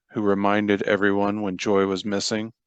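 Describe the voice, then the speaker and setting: Someone speaks with an American accent in a dry, close sound with no echo. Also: man, quiet background. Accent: Southern and Midwestern flavor. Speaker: audiobook narrator. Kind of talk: reading aloud.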